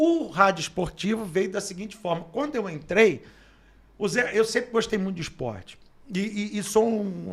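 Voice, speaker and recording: A man speaks with a high pitch and lively intonation. His tone is animated and his pace moderate. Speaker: radio announcer and sports journalist. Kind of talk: casual interview storytelling.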